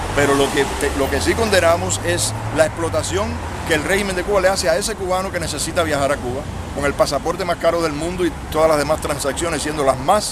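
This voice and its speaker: Talking at a very fast pace, a man with a fairly high voice and ordinary pitch variation is heard through noticeable background noise and audible room echo. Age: 60s. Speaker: exile activist leader. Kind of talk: street interview.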